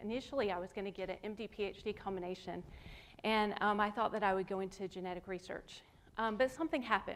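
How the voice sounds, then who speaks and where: A woman in a Southern US accent, medium pitch, very fast pace and ordinary pitch variation. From US South. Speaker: artist. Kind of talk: lecture.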